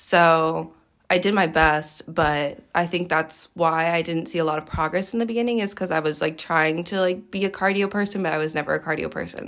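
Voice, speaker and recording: On a very clean recording with a silent background, a woman has a plain, everyday voice, fairly low in pitch, with ordinary pitch variation at a fairly quick pace. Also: hardly any pauses. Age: 20s. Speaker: personal trainer. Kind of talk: casual chat.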